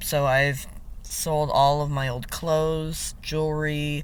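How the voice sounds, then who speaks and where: Speaking very slowly, a man with a fairly high pitch is heard with audible room echo. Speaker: vlogger. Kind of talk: casual vlog monologue. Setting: in a parked car, windows down. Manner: casual, many fillers.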